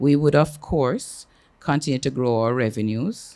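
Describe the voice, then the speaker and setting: A man at a moderate pace in a dark, mellow tone. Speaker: company executive. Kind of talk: business presentation. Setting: hotel meeting room with audience. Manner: loud.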